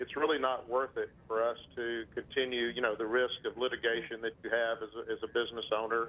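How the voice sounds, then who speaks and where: Hardly pausing at all, a man talks at a fairly quick pace and a medium pitch, his intonation monotone and flat. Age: 60s. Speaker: small business owner. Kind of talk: call-in.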